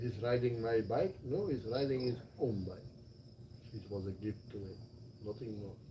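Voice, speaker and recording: Speaking with a Flemish Belgian accent at a medium pitch, a man moves at a moderate pace with long, frequent pauses and ordinary pitch variation, amid noticeable background noise and audible room echo. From Belgium (Flanders). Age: 60s. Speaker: retired expat. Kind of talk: casual chat. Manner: animated.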